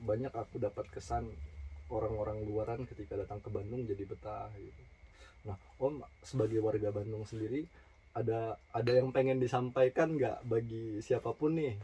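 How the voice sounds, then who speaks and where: A dark, mellow, somewhat breathy tone at a moderate pace with ordinary pitch variation. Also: man, medium pitch for a man. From Sumatra. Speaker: podcast host. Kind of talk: casual chat. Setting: in a storage room.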